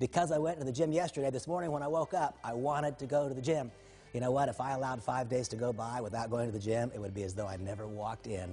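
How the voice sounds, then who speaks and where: Speaking very fast, a man uses a medium pitch with ordinary pitch variation. His tone is dark and mellow, and somewhat breathy. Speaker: network marketing speaker. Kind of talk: motivational talk.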